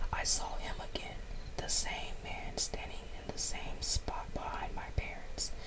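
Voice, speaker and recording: Whispering at a fairly slow pace, a woman is heard over noticeable background noise. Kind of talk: story reading. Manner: whispered.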